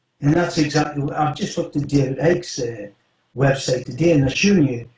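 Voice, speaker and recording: This man's voice sits fairly high in pitch. It comes across somewhat breathy. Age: 70s. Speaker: former special operative. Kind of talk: interview.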